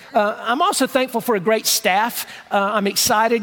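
Noticeable background noise sits under a man's high-pitched voice. His tone is animated, with ordinary pitch variation. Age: 60s. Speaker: pastor. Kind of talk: sermon. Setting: church with congregation. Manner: conversational, animated.

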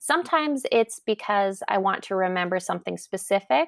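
The sound is dry and close, with no echo. It is a very clean recording against a silent background. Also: woman. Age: 30s. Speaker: journaling blogger. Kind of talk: casual interview.

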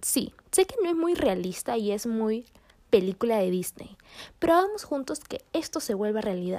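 Her voice fairly high, a woman speaks at a fairly slow pace with lively intonation and an animated tone, in a very clean recording with a silent background. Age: 20s. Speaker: podcaster. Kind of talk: casual monologue.

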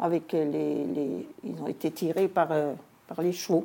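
A woman's dark, mellow tone with vocal fry, fairly low in pitch, at a very slow pace. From Alsace, French-Swiss border. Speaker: local history collector. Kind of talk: interview. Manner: hesitant.

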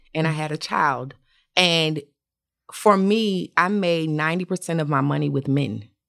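With an American accent, a woman speaks at a very deep, low pitch and a moderate pace, with ordinary pitch variation. The recording is very clean, with a silent background. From Atlanta, US South. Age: 40s. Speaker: makeup artist. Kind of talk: casual chat.

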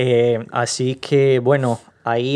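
Against a quiet background, a man with a Portuguese accent speaks in a monotone, flat way at a medium pitch. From Brazil, Rio de Janeiro. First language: Portuguese (speaking Spanish). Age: young. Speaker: podcast guest. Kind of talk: casual interview.

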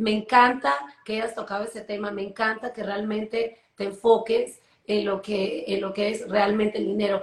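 A woman's monotone, flat intonation at a moderate pace. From Peru. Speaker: entrepreneur and artist, co-host. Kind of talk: live online talk show.

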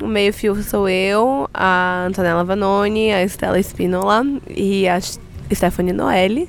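An ordinary speaking voice, a woman's, sits at medium pitch with fairly even intonation. She talks at a fairly slow pace, her loudness very even. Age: 20s. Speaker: podcaster and journalist. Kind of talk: casual interview chat. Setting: recording at a live event.

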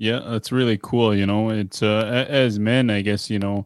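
In a very clean recording with a silent background and a dry, close sound with no echo, a man speaks at a moderate pace, fairly low in pitch with fairly even intonation. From northern Saskatchewan, Dene community. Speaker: podcast host. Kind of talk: casual interview. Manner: halting, many fillers.

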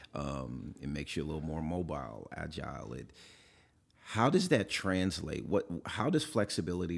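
Heard on a very clean recording with a silent background, a man with an American accent talks with vocal fry, a very deep, low pitch and lively intonation. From Oakland, California. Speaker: podcast host, leadership speaker. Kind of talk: casual interview chat. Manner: energetic.

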